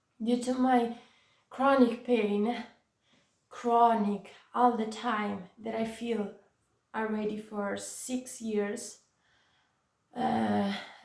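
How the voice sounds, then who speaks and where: With long, frequent pauses, a woman speaks very slowly and with fairly even intonation, and audible room echo fills the recording. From Italy, Florence. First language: Italian. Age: 20s. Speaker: vlogger with chronic pain. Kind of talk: personal testimony vlog. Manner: hesitant, many fillers.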